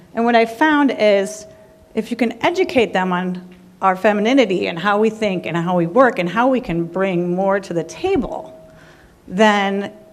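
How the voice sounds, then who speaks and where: A woman speaks at a medium pitch with lively intonation. Noticeable background noise runs under her voice. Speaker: audience member, construction entrepreneur. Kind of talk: audience comment at panel.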